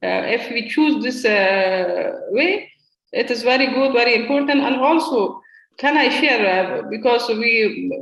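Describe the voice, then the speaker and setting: A non-native accent at a fairly slow pace. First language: not English. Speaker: parliamentarian. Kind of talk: panel discussion. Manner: halting.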